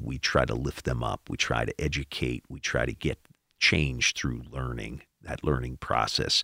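A man with an American accent, a bright, sharp tone and vocal fry, in a dry, close sound with no echo. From Milwaukee, Wisconsin. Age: 50s. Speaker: judge. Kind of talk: casual interview.

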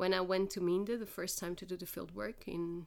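At a moderate pace, a woman with a Portuguese accent speaks at a medium pitch. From Portugal. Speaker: linguist. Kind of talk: interview.

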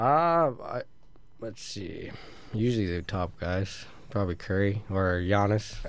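Speaking at a fairly slow pace, a man with a fairly low pitch and lively intonation has a normal speaking voice. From rural Ontario, Canada. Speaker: professional hockey player. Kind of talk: casual interview. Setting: radio studio.

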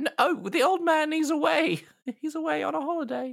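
At a fairly quick pace, a man uses a put-on character voice pitched extremely high. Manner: flustered, evasive, overly polite.

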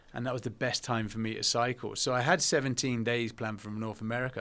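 On a very clean recording with a silent background, a man with a British accent speaks at a medium pitch with a bright, sharp tone and fairly even intonation. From England. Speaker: veteran and adventurer. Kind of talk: casual interview.

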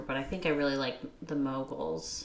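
A woman speaks over noticeable background noise. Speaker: podcast co-host. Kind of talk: casual chat. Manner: bantering, teasing.

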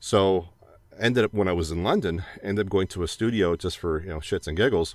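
A man with a Canadian accent, very deep and low in pitch, at a fairly quick pace with ordinary pitch variation. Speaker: voiceover artist. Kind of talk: casual chat. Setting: video call.

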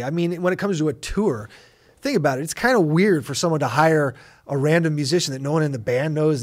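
A man with a Californian accent in a very clean recording with a silent background. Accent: Californian American. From Los Angeles. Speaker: rock drummer. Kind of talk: casual interview chat. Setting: recording studio.

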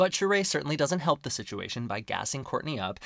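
A man speaks fairly quickly, his voice showing vocal fry. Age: 30s. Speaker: podcast host. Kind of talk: solo podcast recap. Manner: casual with many fillers.

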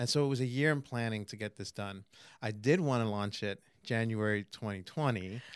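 An ordinary speaking voice with an American accent moves at a fairly quick pace, with ordinary pitch variation. The recording is very clean, with a silent background. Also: man, medium pitch for a man. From New York City, Queens. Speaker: magazine publisher. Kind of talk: casual interview. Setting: studio couch.

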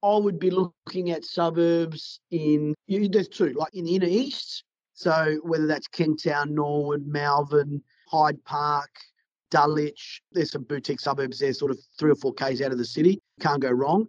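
Speaking with an Australian accent, a man with a fairly high pitch keeps a moderate pace and ordinary pitch variation in a dry, close sound with no echo. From South Australia, Adelaide. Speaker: commercial property sales agent. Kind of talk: podcast interview.

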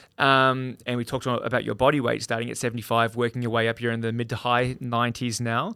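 A man with an Australian accent talks at a very fast pace and medium pitch in a monotone, flat intonation, in a very clean recording with a silent background. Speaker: podcast host. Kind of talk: podcast interview.

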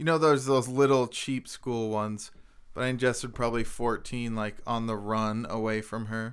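Over a silent background in a very clean recording, a man talks at a moderate pace with a medium pitch and fairly even intonation. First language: French. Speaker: podcast co-host. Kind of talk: casual chat.

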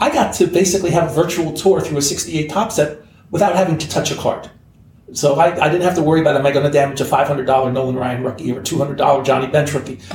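Over noticeable background noise and audible room echo, a man talks at a very fast pace with fairly high pitch and ordinary pitch variation. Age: 60s. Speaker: sports card hobby veteran. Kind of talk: casual chat.

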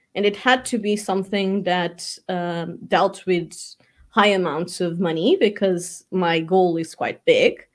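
Very slowly, a woman with a Portuguese accent speaks at a medium pitch with fairly even intonation, in a very clean recording with a silent background. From Portugal. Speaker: real estate agency owner. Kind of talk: interview.

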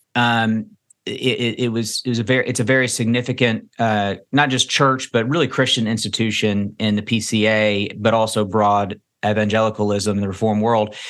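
A man's medium-pitched voice in a Kentucky accent, monotone and flat, with very even loudness, a moderate pace and a quiet background. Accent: Kentucky Southern American. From Kentucky, US South. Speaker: pastor. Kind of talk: interview. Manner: halting, many repetitions.

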